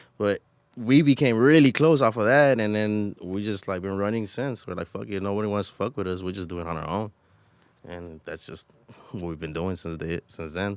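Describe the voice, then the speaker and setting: Using an ordinary speaking voice, a man with fairly low pitch talks at a fairly quick pace, with lively intonation and big swings in loudness. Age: 30s. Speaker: podcast co-host. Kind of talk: casual chat. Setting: studio.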